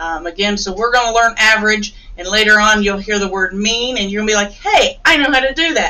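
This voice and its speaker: A woman speaks at a fairly high pitch with fairly even intonation. Noticeable background noise is heard. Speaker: teacher. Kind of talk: tutorial.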